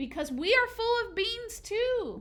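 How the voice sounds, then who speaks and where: A woman uses a put-on character voice that is squeaky and extremely high, raised and projected. Her intonation is lively and her pace fairly slow. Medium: read story. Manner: casual, chatty.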